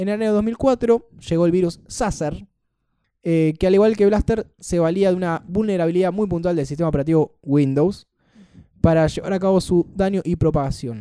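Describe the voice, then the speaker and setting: A man talks at a moderate pace with a high pitch and ordinary pitch variation. His tone is dark and mellow, and the sound is dry and close with no echo. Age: 20s. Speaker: tech podcast host. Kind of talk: casual chat.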